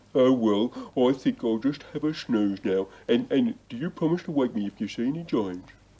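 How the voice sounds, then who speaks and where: Using a put-on character voice, a man speaks at a moderate pace and a medium pitch. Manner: hesitant, stammering.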